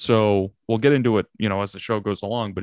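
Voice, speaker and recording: This man has a fairly low pitch and ordinary pitch variation. The recording is very clean, with a silent background. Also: dry, close sound with no echo. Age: 20s. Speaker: sports podcast host. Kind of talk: casual chat. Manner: animated.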